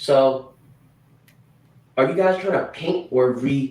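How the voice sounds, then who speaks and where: Ordinary pitch variation marks a man's speech in a Chinese accent. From China. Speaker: true crime commentator. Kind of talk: livestream discussion. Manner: halting, repeats words.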